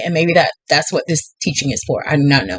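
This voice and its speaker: A woman's animated tone over noticeable background noise. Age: 40s. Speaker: tarot reader. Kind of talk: tarot reading.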